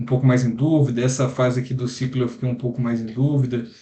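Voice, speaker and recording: A man talks at a fairly quick pace in a somewhat breathy voice with a dark, mellow tone, medium pitch and monotone, flat intonation. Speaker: computer science student. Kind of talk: lecture. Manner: fast; casual.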